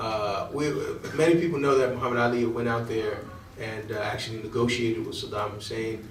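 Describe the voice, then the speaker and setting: An American accent at a fairly quick pace, with audible room echo and noticeable background noise. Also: man, medium pitch for a man, ordinary pitch variation. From Connecticut, New Haven. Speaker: imam. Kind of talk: lecture. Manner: halting.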